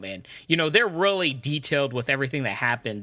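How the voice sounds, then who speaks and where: Bright, sharp tone from a man. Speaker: podcast co-host. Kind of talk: casual chat.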